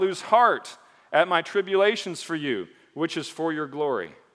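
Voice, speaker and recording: On a very clean recording with a silent background, a man with a slight Michigan accent speaks in an animated tone that sounds bright and sharp. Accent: slightly Northern (Michigan). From mixed: Michigan, Texas, Caribbean, Mississippi. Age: 40s. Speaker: pastor. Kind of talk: sermon. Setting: church stage with congregation.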